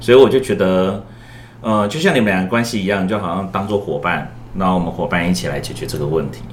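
Over noticeable background noise and audible room echo, a man with a very deep, low pitch speaks at a very fast pace with lively intonation. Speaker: school guidance counselor. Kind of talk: casual chat.

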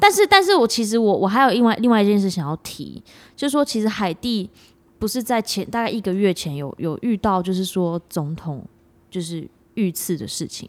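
In an ordinary speaking voice at a moderate pace, the speaker uses lively intonation and big swings in loudness on a very clean recording with a silent background. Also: woman, medium pitch for a woman. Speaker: podcast co-host. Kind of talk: casual chat.

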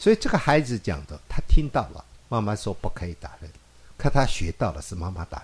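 Speaking fairly quickly, a man with a fairly low, somewhat breathy voice makes very wide pitch swings. His loudness also swings a lot. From rural Taiwan. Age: 50s. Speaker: pediatrician. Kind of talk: interview.

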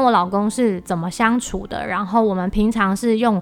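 Music plays in the background as a woman speaks at a fairly high pitch. She keeps a moderate pace with ordinary pitch variation. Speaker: podcast host and entrepreneur. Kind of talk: solo podcast monologue.

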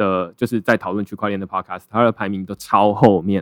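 Here a man talks at a fairly quick pace. The sound is dry and close with no echo, on a very clean recording with a silent background. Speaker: blockchain writer and founder. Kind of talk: casual interview chat.

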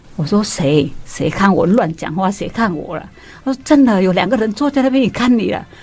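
Against noticeable background noise, someone with a Vietnamese accent speaks at a moderate pace with lively intonation. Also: woman. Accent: Vietnamese-accented Mandarin. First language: Vietnamese (speaking Chinese). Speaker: guest, immigrant mother. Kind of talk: casual chat.

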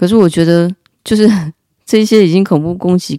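Her tone is dark and mellow, with a fairly low pitch for a woman. She moves at a fairly quick pace with ordinary pitch variation. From Taiwan, Taipei. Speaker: podcast host. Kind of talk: casual storytelling monologue.

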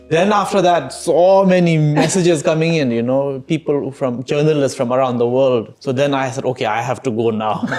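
Over music in the background, a man with a fairly high pitch talks at a moderate pace with hardly any pauses and ordinary pitch variation. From Bhutan. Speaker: film director. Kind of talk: interview. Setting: at home.

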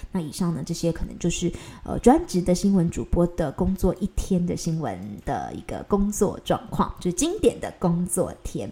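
Speaking in a Taiwanese accent, a woman keeps a moderate pace. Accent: Taiwanese Mandarin. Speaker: news anchor and podcast host. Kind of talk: solo podcast monologue. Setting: recording at home. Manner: casual, chatty.

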